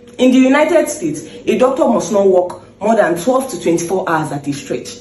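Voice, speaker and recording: Background noise can be clearly heard. The pace of speaking is moderate. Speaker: doctor. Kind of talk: persuasive public speech.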